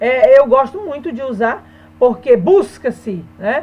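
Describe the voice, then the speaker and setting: A woman talks in a high voice, her pitch swinging very widely. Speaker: Portuguese teacher. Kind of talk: online lesson.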